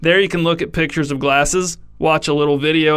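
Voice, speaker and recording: Fairly quickly, a man speaks with a fairly high pitch and monotone, flat intonation. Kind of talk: mock-epic fable narration, absurdist scripted storytelling read straight-faced. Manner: dryly ironic, delivering absurd claims with total sincerity.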